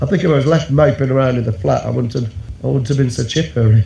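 A man talks at a medium pitch with lively intonation. Noticeable background noise runs beneath him. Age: 50s. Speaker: caller sharing a suicide survival story. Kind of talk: personal testimony.

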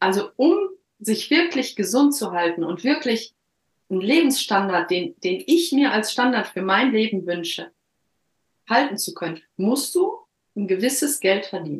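Somewhat breathy and fairly high in pitch, a woman moves through very wide pitch swings at a fairly slow pace, leaving long, frequent pauses. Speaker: coach. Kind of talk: interview, life story. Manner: halting.

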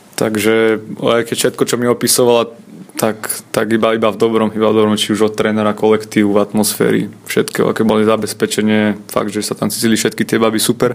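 At a very fast pace, a man with a fairly low voice delivers his words in a monotone, flat way at very even loudness. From Slovakia. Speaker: handball goalkeeper. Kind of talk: interview. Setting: hotel.

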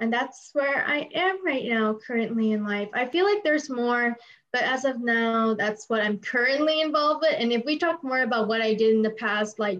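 This woman has a high pitch and ordinary pitch variation, with an American accent. She talks at a moderate pace. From San Francisco Bay Area, US. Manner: loud, energetic.

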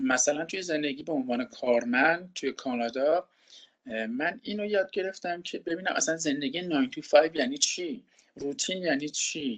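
A man in an ordinary speaking voice talks at a fairly quick pace with ordinary pitch variation. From Iran. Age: 30s. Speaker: project manager in finance IT, returned emigrant. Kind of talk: interview, casual conversation.

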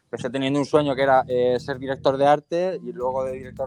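Talking at a very fast pace, a man keeps to a medium pitch. His intonation is monotone and flat. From Murcia, Spain (La Unión). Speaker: creative director and filmmaker. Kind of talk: interview.

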